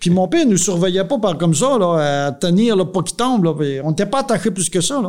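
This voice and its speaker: In a Quebec accent, a man with a high pitch talks at a fairly quick pace with hardly any pauses. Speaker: dairy farmer and farm union leader. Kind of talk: casual interview, life story. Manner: halting, many repetitions.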